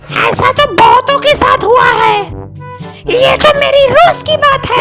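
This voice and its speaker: Clear music plays in the background. Over it, a put-on character voice speaks at a moderate pace. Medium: comedy sketch. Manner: casual, offhand.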